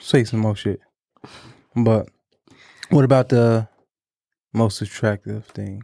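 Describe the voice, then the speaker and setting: A man's mumbling at a very slow pace, dark and mellow in tone, with fairly even intonation, long, frequent pauses and a dry, close sound with no echo. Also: medium pitch for a man. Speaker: podcast co-host. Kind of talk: casual chat.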